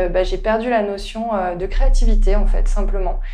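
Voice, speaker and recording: Room echo is audible, and there is noticeable noise in the background. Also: woman. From French Alps. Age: 30s. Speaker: author and former risk manager. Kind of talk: interview, personal testimony. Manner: halting, many hesitations.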